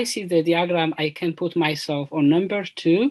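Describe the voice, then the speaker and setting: The speaker has an Ethiopian accent. The background is quiet. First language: Amharic. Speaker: PhD student, panelist. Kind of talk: panel discussion. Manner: halting.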